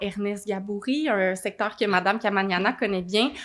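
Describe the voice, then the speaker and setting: Using a plain, everyday voice, a woman with a medium pitch speaks at a moderate pace with fairly even intonation. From Quebec, Gatineau (Outaouais). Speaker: mayor and mayoral candidate. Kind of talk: political Q&A answer. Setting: studio.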